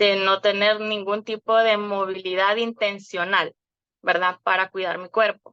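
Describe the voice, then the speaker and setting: In a dry, close sound with no echo, a woman with a medium pitch and a bright, sharp tone speaks at a fairly slow pace in a flat monotone. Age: 40s. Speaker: wellness program client. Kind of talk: testimony. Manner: halting, many filler words.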